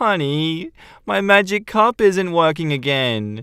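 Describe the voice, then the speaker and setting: A man's whiny, high-pitched put-on character voice with a whiny tone. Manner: pitiful, whiny.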